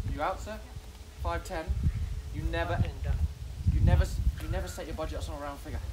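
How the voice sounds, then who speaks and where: Speaking at a fairly quick pace but with long, frequent pauses, a man is heard over noticeable background noise. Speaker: auctioneer. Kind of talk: post-auction aside to bidders. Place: garden. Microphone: camera far.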